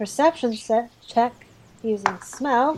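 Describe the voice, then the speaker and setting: Very slow speech from a woman over noticeable background noise. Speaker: player character in tabletop game. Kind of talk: casual roleplaying game chat.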